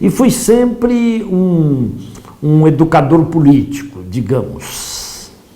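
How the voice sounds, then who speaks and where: A man's fairly high, lively voice at a very slow pace, with audible room echo and noticeable background noise. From Brazil, São Paulo state. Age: 70s. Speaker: professor and politician. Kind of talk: lecture.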